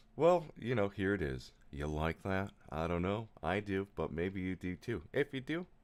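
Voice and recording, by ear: The pitch makes big swings. The pace is moderate. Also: man, low pitch for a man.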